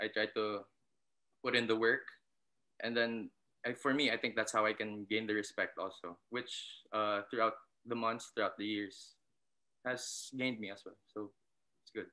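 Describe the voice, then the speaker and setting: A man with a Filipino accent speaks at a moderate pace in a bright, sharp tone, with long, frequent pauses. His intonation is monotone and flat, and the background is quiet. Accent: Filipino English, code-switching with Tagalog. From Philippines (Visayas); Philippines. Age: 20s. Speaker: basketball coach. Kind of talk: casual interview. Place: home room. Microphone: video call.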